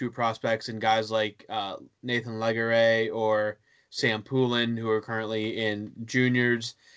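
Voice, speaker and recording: A man with an American accent at a medium pitch. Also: quiet background. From western Pennsylvania (Johnstown). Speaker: hockey blog writer. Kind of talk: casual chat.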